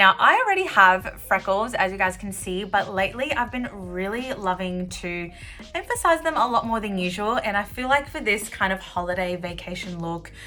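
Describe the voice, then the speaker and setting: Over music in the background, a woman with an Australian accent speaks at a moderate pace with hardly any pauses, using an upbeat, bubbly tone, medium pitch and ordinary pitch variation. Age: 20s. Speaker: beauty YouTuber. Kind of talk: makeup tutorial talk to camera.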